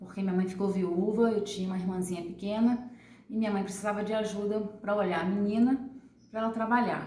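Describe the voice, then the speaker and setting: Over noticeable background noise and audible room echo, a woman speaks at a medium pitch and fairly quick pace in a monotone, flat intonation. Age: 40s. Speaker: adult education former student. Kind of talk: testimony.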